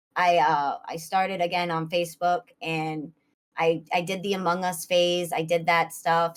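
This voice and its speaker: With a Boston accent, this woman speaks at a fairly low pitch. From US Northeast, Boston area. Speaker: streamer. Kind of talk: interview.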